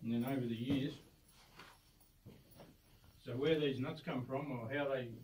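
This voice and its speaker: Speaking fairly slowly and with fairly even intonation, a man is heard against noticeable background noise. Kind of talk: explanatory tour talk. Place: tunnel cave. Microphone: phone near.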